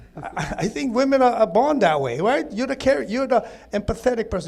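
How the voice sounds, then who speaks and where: Loud and with lively intonation, a man speaks. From Hawaii (Maui). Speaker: caregiver for his wife. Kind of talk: panel discussion. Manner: halting.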